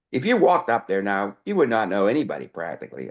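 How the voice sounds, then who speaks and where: A man talks at a fairly quick pace with vocal fry and very wide pitch swings against a quiet background. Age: 70s. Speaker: interviewee, retired chemist and robotics worker. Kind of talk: casual interview chat.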